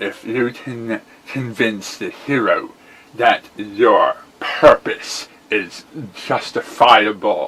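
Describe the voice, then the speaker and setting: A man performs a put-on character voice at a very slow pace. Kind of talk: character voice acting. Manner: menacing, theatrical.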